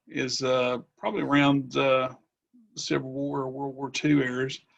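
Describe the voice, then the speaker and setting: With a Southwest Virginia accent, a man talks at a moderate pace. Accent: Southwest Virginia Appalachian. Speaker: history teacher. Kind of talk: self-introduction.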